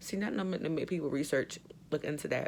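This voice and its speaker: This is a woman's voice. Her accent is American. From New York, Jamaican-born. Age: 30s. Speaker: vlogger. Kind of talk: casual chat.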